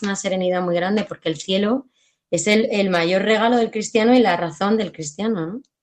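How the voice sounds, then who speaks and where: Speaking at a moderate pace, a woman uses an ordinary speaking voice with a medium pitch and fairly even intonation. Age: 30s. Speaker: PE and religion teacher. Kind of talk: testimony.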